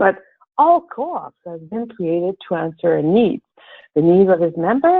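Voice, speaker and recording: Lively intonation runs through a woman's speech in a French accent. Her pace is moderate. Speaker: co-op developer and presenter. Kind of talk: webinar presentation. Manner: halting, with fillers.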